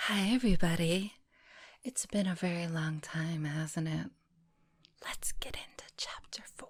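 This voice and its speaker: Soft-spoken and somewhat breathy delivery, fairly slow, with long, frequent pauses. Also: woman, fairly low pitch for a woman, ordinary pitch variation, big swings in loudness. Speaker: storyteller / ASMR reader. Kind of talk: reading aloud. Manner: not whispering.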